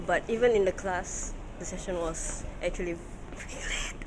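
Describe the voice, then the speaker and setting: Noticeable background noise sits under the voice. The pace is moderate. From Singapore. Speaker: vlogger. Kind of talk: vlog narration. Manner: animated.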